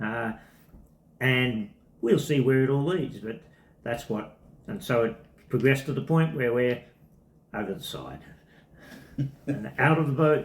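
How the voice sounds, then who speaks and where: A man speaks at a fairly slow pace, somewhat breathy, with long, frequent pauses. His loudness swings widely. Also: medium pitch for a man, ordinary pitch variation. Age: 70s. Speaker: semi-retired tennis coach. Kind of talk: testimony interview.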